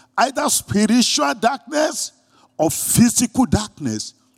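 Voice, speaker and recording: A man's voice with a Nigerian accent and very wide pitch swings, in a dry, close sound with no echo. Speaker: pastor. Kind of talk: sermon. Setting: church.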